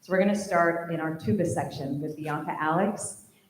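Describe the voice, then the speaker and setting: A woman speaks at a fairly quick pace in a fairly low, shaky voice with ordinary pitch variation. Noticeable background noise and audible room echo surround her. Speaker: high school band director. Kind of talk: speech honoring graduating seniors at a concert. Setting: stage with audience.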